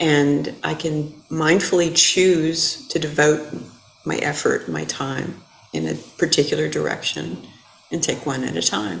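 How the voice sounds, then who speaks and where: A woman's voice at a fairly slow pace, with noticeable background noise and audible room echo. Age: 60s. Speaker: Buddhist dharma teacher. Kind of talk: dharma talk. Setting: temple hall with audience, also streamed.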